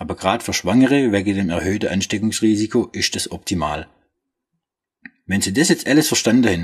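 Here a man talks with a fairly low voice. His delivery is fairly quick. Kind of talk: product explainer in dialect. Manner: humorous, casual.

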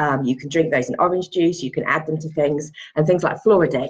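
This woman has a very deep, low pitch and a somewhat breathy voice. She talks fairly quickly with an English accent. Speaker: pregnancy yoga and antenatal teacher. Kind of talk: casual vlog tutorial. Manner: hesitant, many fillers.

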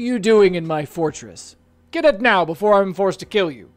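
A husky, put-on character voice at a middle pitch moves along at a fairly quick pace. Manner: threatening yet sad.

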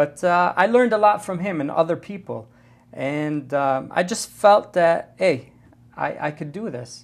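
Speaking at a fairly slow pace, a man uses lively intonation in a high pitch. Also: big swings in loudness. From US Midwest (south end of Dearborn, Michigan; born in Lebanon). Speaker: high school football coach and teacher. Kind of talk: interview. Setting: studio. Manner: halting, frequent fillers. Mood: relaxed, reminiscing. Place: studio. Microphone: lapel.

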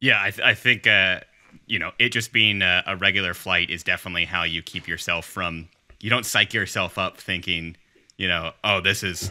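A man speaks at a low pitch with a bright, sharp tone. His intonation is fairly even and his pace fairly quick.

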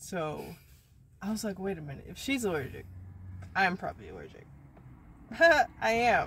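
A woman speaks at a moderate pace with long, frequent pauses and big swings in loudness, in a dry sound with no echo and light background noise. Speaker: vlogger. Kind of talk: casual vlog chat. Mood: amused storytelling. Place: car. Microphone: phone near.

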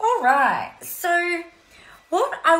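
A woman's voice rises and falls in very wide pitch swings. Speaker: coach hosting a live stream. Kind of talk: casual motivational live-stream chat. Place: home room. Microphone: earbuds.

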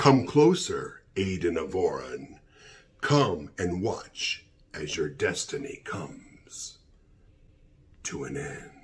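A man speaks in a put-on character voice. He goes at a very slow pace with long, frequent pauses. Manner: menacing, taunting.

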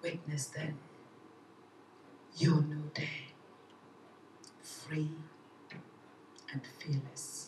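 Over noticeable background noise, a woman talks very slowly in a very deep, low voice, her intonation monotone and flat, with long, frequent pauses. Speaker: poet. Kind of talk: poetry reading. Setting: live event. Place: stage.

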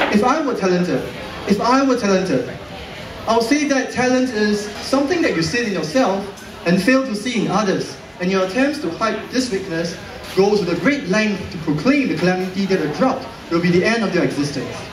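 A man with a high pitch talks at a fairly quick pace against noticeable background noise. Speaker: slam poet. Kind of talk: slam poetry performance. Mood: wry, satirical. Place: hall.

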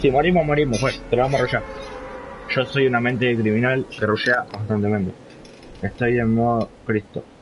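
Against light background noise, a man talks at a fairly quick pace with ordinary pitch variation and long, frequent pauses. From Argentina. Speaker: gaming streamer. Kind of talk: live gameplay stream chat. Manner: animated.

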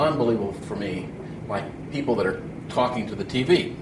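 Noticeable background noise sits behind the voice. A man speaks at a moderate pace. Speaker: guest instructor. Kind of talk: lecture. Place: classroom.

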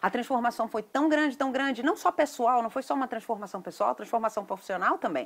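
A woman with a Brazilian accent speaks in a fairly high, animated voice with lively intonation. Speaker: event promoter. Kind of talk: sales pitch. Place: garden. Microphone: phone near.

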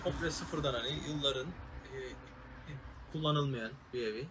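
A man talks at a fairly slow pace with a medium pitch and ordinary pitch variation. His tone is fairly bright, with faint background noise behind him.

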